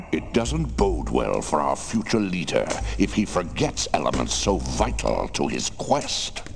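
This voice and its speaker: A man puts on a character voice while loud noise fills the background. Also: moderate pace. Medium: game stream. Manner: solemn, measured.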